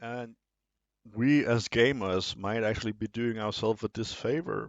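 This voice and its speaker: With a non-native accent, a man talks at a moderate pace using fairly even intonation. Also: medium pitch for a man. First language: not English. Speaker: video essay host. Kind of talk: monologue commentary. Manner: some hesitations and fillers.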